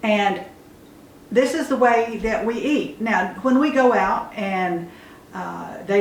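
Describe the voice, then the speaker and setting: A woman talks at a very slow pace with lively intonation. Audible room echo and noticeable background noise surround her. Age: 70s. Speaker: homesteader. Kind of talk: casual chat. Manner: halting.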